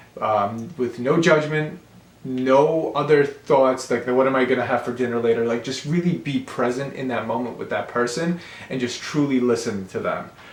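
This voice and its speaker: A man speaks at a moderate pace with medium pitch and ordinary pitch variation. Room echo is audible. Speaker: realtor and book reviewer. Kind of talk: casual monologue book review. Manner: hesitant, many fillers and repeats.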